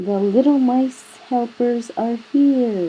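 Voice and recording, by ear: A woman's squeaky, put-on character voice, high-pitched and very slow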